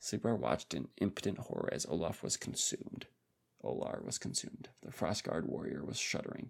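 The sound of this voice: Simply an unforced reading voice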